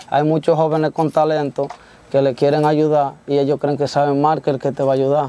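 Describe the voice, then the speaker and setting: A man speaks at a moderate pace in a fairly high pitch, his intonation monotone and flat. The sound is dry with no echo, and his tone is dark and mellow. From Dominican Republic, Baní (Peravia); Dominican Republic. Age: young. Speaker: corrido singer; interviewee. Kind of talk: interview. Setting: studio. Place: studio.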